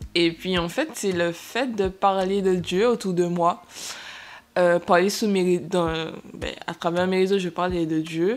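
Fairly even intonation marks a woman's very slow speech. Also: medium pitch for a woman. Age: 20s. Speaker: podcast host and young entrepreneur. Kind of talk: casual chat. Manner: hesitant, many fillers.

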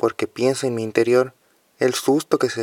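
A man speaks in a monotone, flat intonation. The sound is dry and close, with no echo. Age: 20s. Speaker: young person sharing drug use experience. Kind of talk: testimony.

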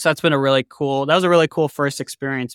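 A plain, everyday voice, a man with an American accent, fairly high pitch and fairly even intonation, on a very clean recording with a silent background. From US Northeast, Massachusetts North Shore. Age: 20s. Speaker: machine shop owner. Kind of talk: casual interview chat.

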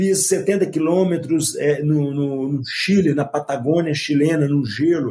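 Very slowly, with hardly any pauses, a man speaks at a fairly high pitch in a dark, mellow, somewhat breathy tone. His intonation is fairly even, and his loudness stays very even. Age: 50s. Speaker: ultramarathon runner and motivational speaker. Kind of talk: interview.

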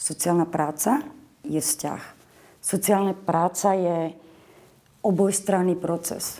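Very slow speech from a woman, with long, frequent pauses and a dark, mellow tone. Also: fairly low pitch for a woman, ordinary pitch variation. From western Slovakia, Boleráz (Trnava region), Moravian mother. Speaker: social worker. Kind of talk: interview. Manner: animated.

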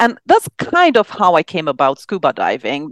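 In a Romanian accent, a woman speaks at a moderate pace with very wide pitch swings, recorded with a dry, close sound with no echo against a quiet background. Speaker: psychiatrist and actress. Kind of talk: casual interview.

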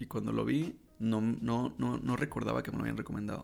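A man speaks with a Mexican accent. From Mexico, Baja California Sur (La Paz). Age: 20s. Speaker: podcaster, student. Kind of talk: casual personal monologue. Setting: home desk recording. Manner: fast.

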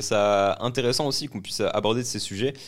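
This voice shows ordinary pitch variation on a very clean recording with a silent background. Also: man. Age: 20s. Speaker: podcast host and entrepreneur. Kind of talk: casual chat.

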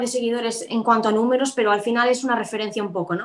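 Very fast and fairly high in pitch, a woman speaks. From Spain, Galicia. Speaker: law student and entrepreneur. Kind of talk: interview. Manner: halting, many fillers and repetitions.

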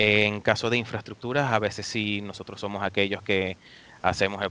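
Bright and sharp, the voice has a clear edge. It moves along at a fairly quick pace. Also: man. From Venezuela. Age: 20s. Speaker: video game network operations engineer. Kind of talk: interview.

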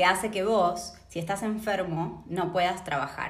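A woman's fairly low voice with vocal fry and an Argentine accent, at a moderate pace and with ordinary pitch variation, plus audible room echo. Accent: Argentine Spanish (voseo). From Argentina, Patagonia (Neuquén). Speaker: sociologist. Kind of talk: interview.

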